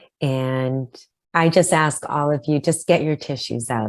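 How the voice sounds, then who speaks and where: Fairly even intonation marks a woman speaking at a moderate pace. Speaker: grief podcast host. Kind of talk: podcast interview host.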